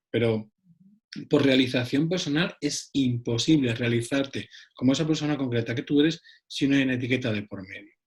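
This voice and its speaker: A man with an Andalusian accent talks at a fairly quick pace in a somewhat breathy, medium-pitched voice with ordinary pitch variation. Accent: Andalusian (Cádiz). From Cádiz, southern Spain. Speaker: psychologist. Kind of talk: round-table discussion.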